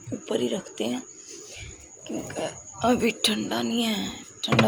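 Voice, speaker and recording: A woman's voice with very wide pitch swings over noticeable background noise. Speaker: family vlogger. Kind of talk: casual vlog talk.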